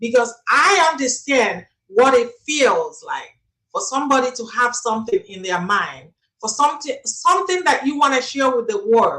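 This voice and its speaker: Projecting a raised voice, a woman speaks at a high pitch and a moderate pace with lively intonation and a bright, sharp tone. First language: not English. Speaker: life coach. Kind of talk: interview.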